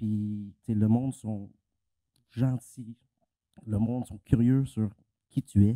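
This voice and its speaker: Speaking in a Quebec accent, a man uses a medium pitch and monotone, flat intonation, with a dark, mellow tone and a dry, close sound with no echo. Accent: Québécois French. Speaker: panelist. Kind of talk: panel discussion. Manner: halting.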